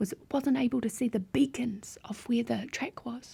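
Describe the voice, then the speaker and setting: The speaker has a gentle, dark, mellow tone and a New Zealand accent. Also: woman. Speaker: ASMR artist. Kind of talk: bedtime story narration. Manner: soft-spoken, gentle.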